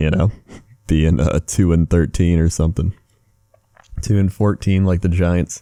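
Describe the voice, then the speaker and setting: In a dry, close sound with no echo, a soft-spoken man with a very deep, low pitch and a dark, mellow tone talks at a moderate pace with fairly even intonation. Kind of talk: ASMR rambling.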